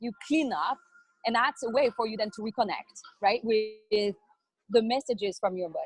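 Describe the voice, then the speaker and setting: At a moderate pace broken by long, frequent pauses, a woman with a French accent speaks at a fairly high pitch with ordinary pitch variation, in a dry, close sound with no echo. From France. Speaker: wellness entrepreneur. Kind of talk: interview.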